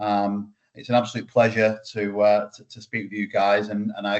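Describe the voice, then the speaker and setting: In a British accent, a man speaks at a moderate pace with a fairly low pitch. His intonation is monotone and flat. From UK. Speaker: startup founder. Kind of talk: webinar presentation.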